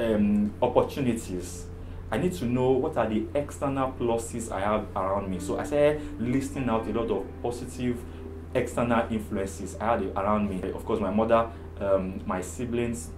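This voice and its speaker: A man talks at a moderate pace in a fairly low voice with ordinary pitch variation. Music plays in the background, and room echo is audible. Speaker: therapist sharing personal story. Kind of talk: testimony.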